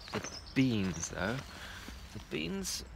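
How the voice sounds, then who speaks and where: Noticeable background noise fills the recording. A man speaks at a very slow pace. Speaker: allotment vlogger. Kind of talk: casual vlog. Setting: outdoors.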